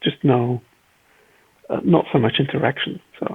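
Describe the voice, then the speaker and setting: Here a man speaks with a Flemish accent. His intonation is fairly even. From Belgium (Flanders, Leuven/Antwerp area). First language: Flemish Dutch. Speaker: car designer. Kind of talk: casual interview chat.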